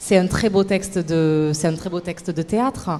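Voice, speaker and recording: Speaking fairly slowly in a southern French accent, a woman has a fairly low pitch. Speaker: stage actress. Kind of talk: TV interview.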